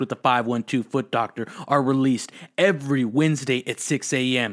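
A man speaks in a plain, everyday voice at a medium pitch, with ordinary pitch variation. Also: very clean recording, silent background. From Austin, Texas. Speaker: podcast host. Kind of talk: casual chat; podcast outro.

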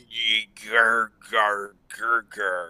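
A man growls in a put-on character voice at a medium pitch. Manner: growling.

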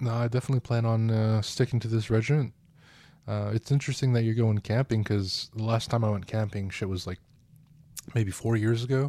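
A man speaks at a fairly quick pace with medium pitch and fairly even intonation. His tone is dark and mellow on a very clean recording with a silent background. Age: 20s. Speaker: podcast co-host. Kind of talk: casual chat.

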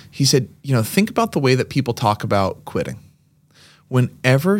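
A man with an American accent, medium pitch and vocal fry, speaking at a fairly quick pace with very wide pitch swings, on a very clean recording with a silent background. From Massachusetts, Lexington (Boston area). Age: 30s. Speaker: gym owner and former kindergarten teacher. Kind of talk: casual chat.

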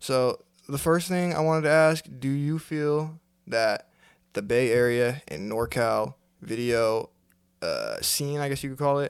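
Speaking at a fairly slow pace with an American accent, a man uses a plain, everyday voice with a fairly high pitch and ordinary pitch variation, in a very clean recording with a silent background. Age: 20s. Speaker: podcast host and videographer. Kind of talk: casual chat.

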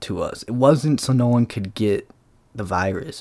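At a fairly slow pace, a man with a medium-pitched voice and ordinary pitch variation speaks on a very clean recording with a silent background. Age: 20s. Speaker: solo podcaster. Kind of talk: casual monologue. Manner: animated.

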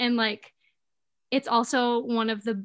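A woman with an Upper Peninsula Michigan accent, fairly high in pitch and fairly slow in pace. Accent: Upper Peninsula Michigan (Yooper). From Upper Peninsula of Michigan, Escanaba. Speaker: social media creator. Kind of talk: casual chat.

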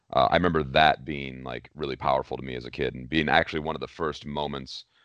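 Speaking at a fairly quick pace, a man uses a very deep, low voice with vocal fry and flat, monotone intonation. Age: 30s. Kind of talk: casual chat.

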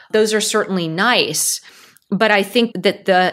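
A woman with an American accent and a bright, sharp tone, fairly even in intonation and fairly slow, in a very clean recording with a silent background. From US, California (Silicon Valley). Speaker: tech founder and CEO. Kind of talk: interview.

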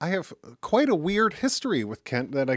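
Dry and close with no echo, this very clean recording on a silent background carries a fairly quick voice in a Michigan accent. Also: man. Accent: Midwestern American (Michigan). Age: 40s. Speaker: podcast host. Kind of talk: casual chat; podcast intro/outro monologue.

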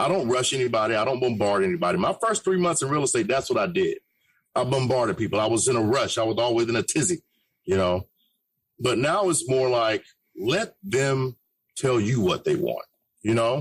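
A man talks at a fairly quick pace with lively intonation. His voice is somewhat breathy and his loudness stays very even. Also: medium pitch for a man. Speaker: radio host. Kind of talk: casual chat.

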